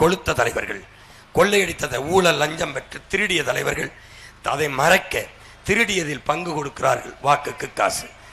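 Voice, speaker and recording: A man's voice, fairly high in pitch, comes through noticeable background noise. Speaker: political leader giving a campaign speech. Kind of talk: political campaign speech to a crowd. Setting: outdoors, public address system at a campaign vehicle rally. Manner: fiery, rhetorical, declamatory.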